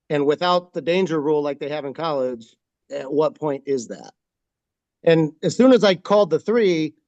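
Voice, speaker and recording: The sound is dry and close, with no echo. A man talks at a fairly high pitch with lively intonation. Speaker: wrestling official. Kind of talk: webinar discussion. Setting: video call at dining room table. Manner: loud.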